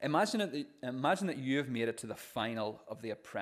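Someone reads in an unforced voice. The intonation is lively.

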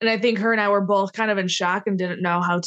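A woman speaks in a monotone, flat intonation with an American accent. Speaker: professional wrestler. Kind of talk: casual chat. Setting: video call.

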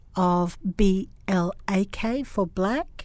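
Her voice sits at a medium pitch, and the woman keeps her intonation fairly even. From Australia. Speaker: podcast host and professor. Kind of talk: interview.

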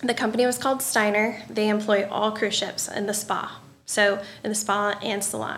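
A woman with a southern Illinois accent speaks at a fairly high pitch with fairly even intonation, and the room echo is audible. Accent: US Midwest, rural southern Illinois. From Southern Illinois, Marion area. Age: 30s. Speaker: hairdresser and salon business coach. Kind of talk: casual interview chat. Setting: studio.

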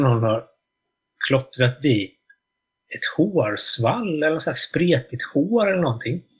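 A somewhat breathy voice moves fairly slowly, its pitch swinging very widely. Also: man. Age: 40s. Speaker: drummer and music journalist. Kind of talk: casual interview chat.

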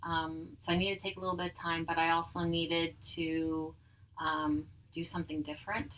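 This woman has a fairly low pitch and fairly even intonation. She talks at a fairly quick pace. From Manitoba, Canada (Dugald, near Winnipeg). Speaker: business owner. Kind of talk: personal testimony in casual interview. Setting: in person at her tanning salon.

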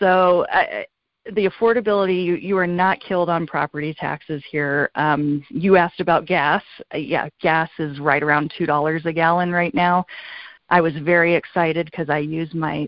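A woman with an American accent and a normal speaking voice, fairly low in pitch, at a moderate pace with fairly even intonation. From California. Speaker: real estate agent. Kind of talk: interview.

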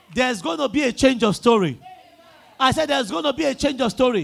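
Speaking with a Nigerian accent, a man uses an animated tone and an extremely high pitch. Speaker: preacher. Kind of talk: sermon and call-and-response prayer. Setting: church with congregation. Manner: animated, loud, rousing, repeating lines to the crowd.

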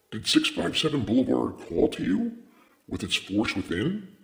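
A man performs a put-on character voice with a menacing tone. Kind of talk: formal, archaic. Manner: menacing, eerie.

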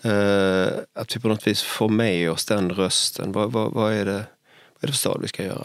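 A moderate pace and monotone, flat intonation on a very clean recording with a silent background. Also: man. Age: 60s. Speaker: city architect and podcast host. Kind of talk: casual chat. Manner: halting, repeats words.

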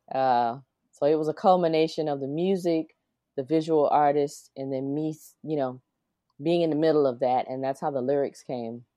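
A woman with a South Carolina accent speaks at a very deep, low pitch. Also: fairly even intonation, moderate pace. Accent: Southern US (South Carolina). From US South, South Carolina. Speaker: singer and musician. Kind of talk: interview.

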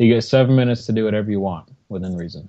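A man's plain, everyday voice, fairly low in pitch, with fairly even intonation. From Rochester, New York, US. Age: 20s. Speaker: competitive RC helicopter pilot. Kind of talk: casual chat.

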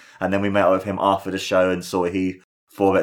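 Fairly quick speech from a man with a British accent and a fairly low pitch, on a very clean recording with a silent background. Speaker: wrestling podcaster. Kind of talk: solo review podcast. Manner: animated.

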